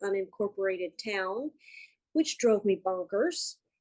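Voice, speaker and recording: A woman with an American accent uses a normal speaking voice at a medium pitch and moderate pace. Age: 60s. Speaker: course student. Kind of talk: casual chat. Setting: video call.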